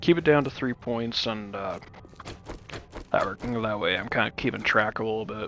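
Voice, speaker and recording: A man speaks at a moderate pace and a medium pitch, with long, frequent pauses and music playing in the background. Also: ordinary pitch variation. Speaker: gaming youtuber. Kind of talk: gameplay commentary. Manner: casual, halting with fillers.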